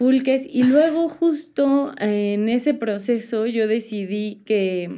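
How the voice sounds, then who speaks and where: A woman speaks with a dark, mellow tone. Her intonation is lively. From Puebla, Mexico. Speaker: vintage shop owner. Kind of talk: casual chat.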